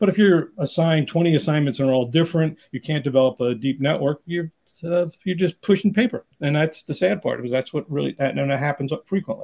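With a New York accent, the speaker goes at a fairly quick pace with hardly any pauses and ordinary pitch variation. The sound is dry and close, with no echo. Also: man, fairly high pitch for a man. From New York City area. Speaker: executive recruiter. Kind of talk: interview.

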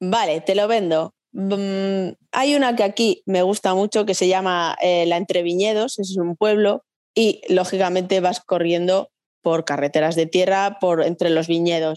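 In a slight Riojan accent, a woman speaks at a fairly slow pace and medium pitch with very even loudness, the sound dry and close with no echo against a quiet background. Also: ordinary pitch variation. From La Rioja, Spain (Logroño). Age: 40s. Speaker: nurse and amateur runner. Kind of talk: casual interview.

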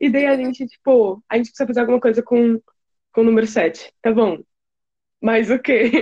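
A woman talks at a fairly quick pace, taking long, frequent pauses. Her voice is fairly high, with a dark, mellow tone. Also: ordinary pitch variation, dry, close sound with no echo. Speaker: podcast co-host. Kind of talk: casual chat.

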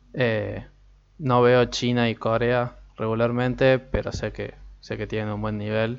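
A man talks at a fairly slow pace with a medium pitch. His intonation is monotone and flat. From Argentina. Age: 20s. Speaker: podcast host and psychology student. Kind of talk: casual solo podcast talk. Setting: home recording, alone.

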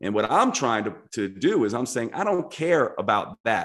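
In an ordinary speaking voice, a man of medium pitch talks at a fairly quick pace with lively intonation. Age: 40s. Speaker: naturopathic doctor and author. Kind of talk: casual chat.

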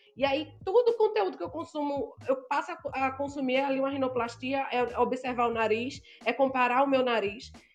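With music in the background, a woman talks at a moderate pace in a high pitch, varying it in an ordinary way. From Brazil, Northeast. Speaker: blogger and influencer. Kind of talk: casual interview chat.

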